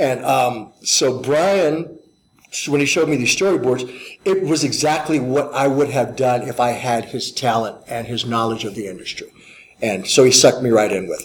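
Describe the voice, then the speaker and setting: Over noticeable background noise, a man with an American accent talks at a moderate pace and medium pitch, with ordinary pitch variation. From US Midwest (St. Louis, Missouri). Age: 50s. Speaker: martial arts teacher. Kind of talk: interview. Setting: fan convention.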